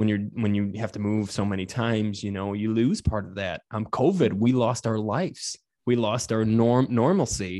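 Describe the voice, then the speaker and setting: In a quiet background, a man with an American accent and a fairly low, dark, mellow voice speaks at a moderate pace with ordinary pitch variation and hardly any pauses. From Michigan, US Midwest. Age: 30s. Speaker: funeral director. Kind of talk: casual chat. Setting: funeral home.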